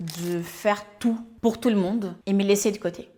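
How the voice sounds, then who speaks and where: At a fairly slow pace, a woman with a Portuguese accent speaks at a medium pitch with ordinary pitch variation. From Brazil. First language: Portuguese (speaking French). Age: 30s. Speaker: life coach and YouTuber. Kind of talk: personal introduction vlog.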